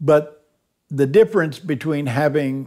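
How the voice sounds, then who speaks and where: A man with a Texan accent is heard on a very clean recording with a silent background. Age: 70s. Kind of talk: documentary interview storytelling. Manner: colorful, humorous raconteur.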